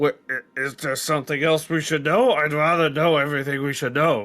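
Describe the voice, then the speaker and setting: A raspy, put-on character voice moves along at a fairly quick pace. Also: man, fairly high pitch for a man. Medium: actual play. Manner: blunt, impatient.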